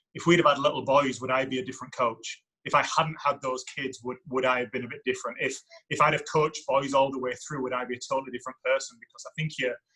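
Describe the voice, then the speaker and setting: A man's bright, sharp, medium-pitched voice, very fast and monotone with flat intonation. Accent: English. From England. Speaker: university soccer coach. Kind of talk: podcast interview. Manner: halting, repetitive.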